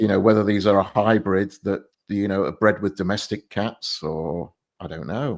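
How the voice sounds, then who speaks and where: A man with an English accent, fairly low pitch, ordinary pitch variation and a moderate pace. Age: 60s. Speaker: retired police officer. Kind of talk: casual interview.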